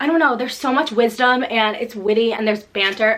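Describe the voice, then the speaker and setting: Through noticeable background noise, a woman with an American accent speaks in an animated tone at a fairly high pitch. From New Jersey, US. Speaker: booktuber. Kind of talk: casual vlog talk.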